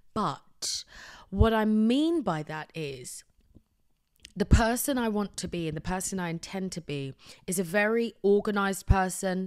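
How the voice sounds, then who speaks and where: A woman with a British accent speaks at a fairly slow pace in an animated tone, with lively intonation and a medium pitch. Her loudness swings widely, and the recording is very clean with a silent background. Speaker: podcast host. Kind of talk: casual monologue. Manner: soft-spoken.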